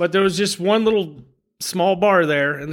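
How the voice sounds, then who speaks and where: A man with an American accent and an ordinary speaking voice. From Memphis, Tennessee, US South. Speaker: bartender. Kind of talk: casual chat.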